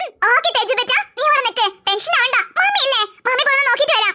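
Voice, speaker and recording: A woman talks in a squeaky, cartoonish character voice at an extremely high pitch, with a fairly quick pace and lively intonation. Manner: gushing, sugary.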